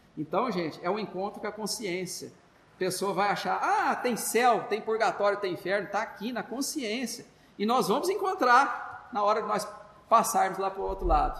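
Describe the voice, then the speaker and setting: This man's voice sits high, with ordinary pitch variation and a moderate pace. Noticeable background noise and audible room echo fill the recording. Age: 60s. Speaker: spiritist lecturer. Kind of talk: religious talk. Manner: halting, many fillers and repetitions.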